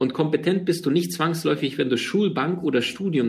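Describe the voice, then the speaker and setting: Vocal fry runs through this man's voice. His intonation is lively. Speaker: podcast host, seminar trainer. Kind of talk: personal storytelling monologue. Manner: halting, many fillers.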